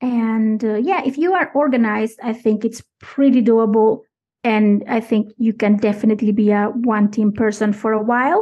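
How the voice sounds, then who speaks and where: A woman with a non-native accent has a fairly high pitch, a dark, mellow tone and a somewhat breathy quality. Her loudness is very even, her intonation fairly even, her pace moderate, and the background quiet. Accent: foreign accent, she thinks it is noticeable. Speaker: podcast manager and producer. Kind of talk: interview conversation.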